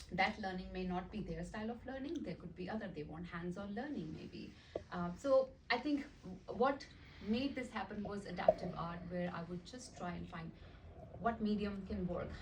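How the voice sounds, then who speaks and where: Over noticeable background noise and audible room echo, a woman talks at a moderate pace with lively intonation. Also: medium pitch for a woman. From India, small town. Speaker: art teacher and nonprofit founder. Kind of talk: presentation. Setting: meeting with audience.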